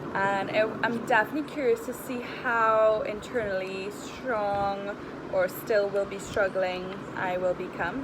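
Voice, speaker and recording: Over noticeable background noise, a woman talks with a fairly high pitch and fairly even intonation. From Trinidad. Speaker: nutritionist and wellness coach. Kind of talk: casual vlog chat. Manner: casual, conversational.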